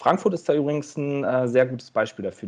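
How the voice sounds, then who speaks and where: A man is speaking. His pace is moderate. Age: 30s. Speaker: management consultant. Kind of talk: interview. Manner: halting, frequent word repetitions.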